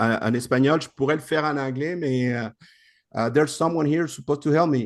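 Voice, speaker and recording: With a Spanish accent, a man speaks at a fairly quick pace in a fairly high pitch, his intonation fairly even over a quiet background. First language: Spanish (speaking French). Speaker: investment program presenter. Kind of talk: video call presentation. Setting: video call.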